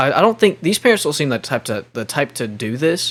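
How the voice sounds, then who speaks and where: A man's lively, fairly quick speech amid noticeable background noise. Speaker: commentary YouTuber. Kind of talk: reaction commentary. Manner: stuttering and misspeaking today; casual, slangy.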